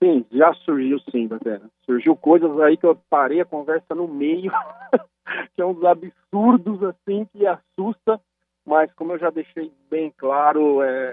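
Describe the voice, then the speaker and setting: A man's fairly high-pitched voice, ordinary pitch variation, very slow pace. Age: young. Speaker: football coach. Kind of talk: radio interview.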